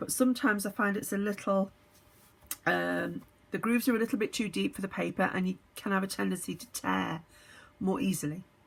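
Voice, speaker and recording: In a put-on character voice that is hoarse and raspy, the speaker moves at a fairly quick pace. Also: woman, medium pitch for a woman. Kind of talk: casual craft tutorial.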